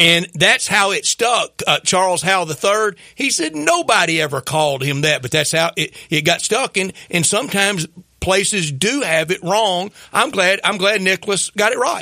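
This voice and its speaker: Raising and projecting his voice, a man speaks with a bright, sharp tone, high pitch and lively intonation at a moderate pace, the sound dry and close with no echo. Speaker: sports radio co-host. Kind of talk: sports radio talk show.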